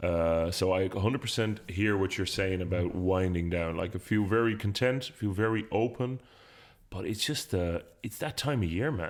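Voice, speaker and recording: The recording is very clean with a silent background. A man talks at a moderate pace with a fairly low pitch and ordinary pitch variation. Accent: Irish. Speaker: podcast co-host. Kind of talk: casual chat. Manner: quieter and lower-energy than usual.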